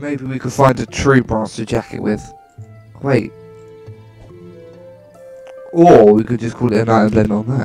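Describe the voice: A man with a slightly mellow tone and little pitch movement, taking long, frequent pauses, with faint music in the background. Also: medium pitch for a man, fairly slow pace.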